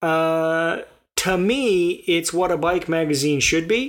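A very slow delivery on a very clean recording with a silent background. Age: 50s. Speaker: podcast co-host. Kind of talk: casual chat.

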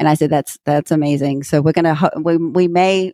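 Recorded with a dry, close sound with no echo, a woman talks at a very deep, low pitch with ordinary pitch variation. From Germany. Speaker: education thought leader and CEO. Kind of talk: interview.

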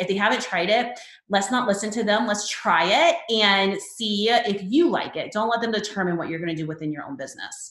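With audible room echo around her, a woman of medium pitch talks at a fairly quick pace, with lively intonation and hardly any pauses. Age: 30s. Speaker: wedding photographer and educator. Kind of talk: podcast interview.

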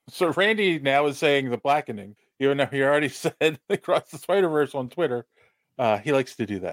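An unremarkable speaking voice at a fairly quick pace, with lively intonation and a dry, close sound with no echo. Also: man, fairly high pitch for a man. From Philadelphia. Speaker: podcast host. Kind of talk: casual chat.

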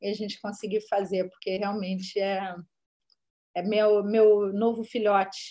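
A woman talks at a fairly slow pace with a medium pitch. Her tone is dark and mellow. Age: 40s. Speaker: screenwriter and director. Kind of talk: interview.

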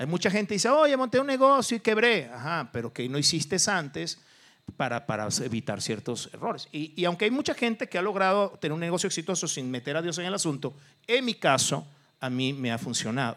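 Fairly quick delivery in a bright, sharp tone with very wide pitch swings. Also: man, high pitch for a man. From Venezuela. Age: 50s. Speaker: businessman. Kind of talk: interview testimony.

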